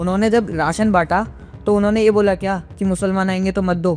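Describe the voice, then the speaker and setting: With music in the background, a man speaks at a moderate pace with fairly even intonation. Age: 20s. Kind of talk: interview answer.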